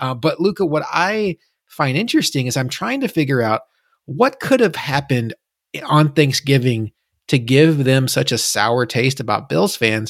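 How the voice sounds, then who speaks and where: A man with a plain, everyday voice, fairly high in pitch, with an American accent, lively intonation and a moderate pace. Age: 30s. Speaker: sports podcast host. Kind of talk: casual chat.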